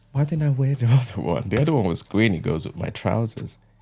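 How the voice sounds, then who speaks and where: With music playing in the background, a man talks using lively intonation. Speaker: YouTube creator. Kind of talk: talking-head video essay. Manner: slow.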